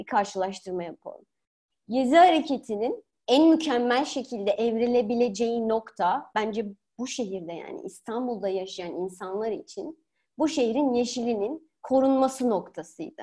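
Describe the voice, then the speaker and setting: With lively intonation, a woman talks in a high pitch at a moderate pace. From Turkey. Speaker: political science academic. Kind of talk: podcast interview.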